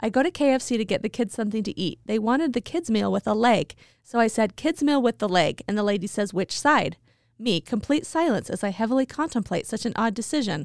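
A woman with an American accent and a fairly high pitch speaks at a fairly quick pace with lively intonation in a plain, everyday voice, on a very clean, dry, close recording with a silent background and no echo. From Idaho Falls, Idaho. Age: 40s. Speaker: podcast co-host. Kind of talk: casual chat.

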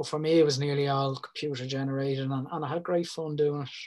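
In a Dublin accent, a man talks at a fairly high pitch. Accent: Dublin Irish. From Ireland (Dublin area). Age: 40s. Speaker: mural artist. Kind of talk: casual chat.

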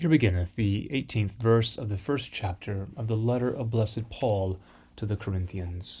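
A man's somewhat breathy, fairly low-pitched voice with ordinary pitch variation, in a very clean recording with a silent background. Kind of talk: liturgical reading of scripture lessons and prayers, solemn and measured. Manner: formal, slow, reverent, steady cadence.

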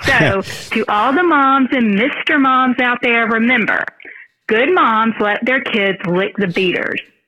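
A woman with a Southern US accent, lively intonation and very even loudness. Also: fairly high pitch for a woman, fairly slow pace. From US South. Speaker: listener sending in a message. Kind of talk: recorded voice message with jokes.

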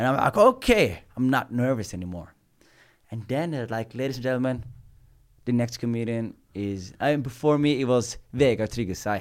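At a moderate pace and medium pitch, a man uses a normal speaking voice with ordinary pitch variation on a very clean recording with a silent background. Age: 20s. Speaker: comedian. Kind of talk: casual chat.

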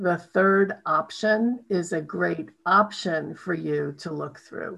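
A woman with an American accent talks at a medium pitch with ordinary pitch variation. She has a plain, everyday voice. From New York City. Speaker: podcast host. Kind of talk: interview. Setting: call.

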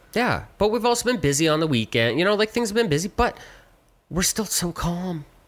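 Speaking at a fairly quick pace with a Canadian accent, a man uses a high voice with very wide pitch swings and very even loudness. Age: 30s. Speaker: podcast co-host. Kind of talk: casual chat.

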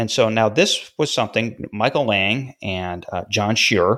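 A man with an American accent has an ordinary speaking voice, fairly low in pitch, with ordinary pitch variation. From upstate New York (Syracuse). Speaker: music podcast host, former music journalist. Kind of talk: casual chat.

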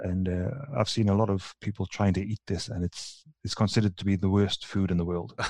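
At a fairly quick pace, a man speaks with a fairly low pitch, a dark, mellow tone and fairly even intonation, in a dry, close sound with no echo. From northern England, near Newcastle. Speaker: engineering manager. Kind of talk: casual interview chat. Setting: video call from home. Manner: polite, softening his accent to be understood.

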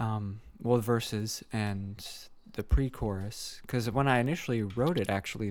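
A man with an American accent has a plain, everyday voice, speaking at a medium pitch and a fairly slow pace. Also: very clean recording, silent background. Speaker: musician and singer. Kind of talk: casual interview chat.

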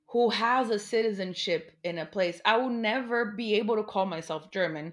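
In a Portuguese accent, a woman with a fairly high pitch talks at a fairly slow pace with lively intonation, recorded very cleanly against a silent background. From Brazil, near São Paulo. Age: 30s. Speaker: artist and graduate student. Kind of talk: casual chat.

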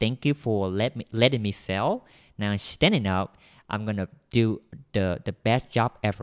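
A man with a Vietnamese accent and a fairly low pitch speaks at a moderate pace. The recording is very clean, with a silent background and a dry, close sound with no echo. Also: ordinary pitch variation. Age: young. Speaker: software developer. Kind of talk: interview.

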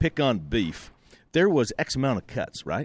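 A man with an ordinary speaking voice delivers his words at a moderate pace and with lively intonation, recorded very cleanly against a silent background. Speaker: producer and sound engineer. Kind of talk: casual chat. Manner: joking.

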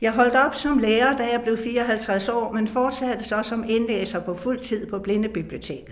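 A woman's fairly high voice at a fairly slow pace, with noticeable background noise and audible room echo. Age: 80s+. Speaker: retired teacher and audiobook narrator. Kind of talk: reading aloud own memoir.

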